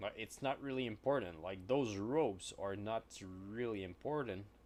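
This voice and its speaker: At a moderate pace, a fairly low-pitched man with a French Canadian accent talks with ordinary pitch variation. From Quebec. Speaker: miniature painter streamer. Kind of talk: casual live-stream chat while painting. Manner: halting.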